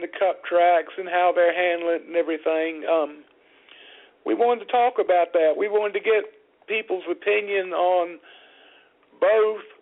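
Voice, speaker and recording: In a Southern US accent, a man talks at a high pitch with fairly even intonation. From US South. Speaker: motorsport radio show host. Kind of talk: casual talk radio chat. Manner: slow.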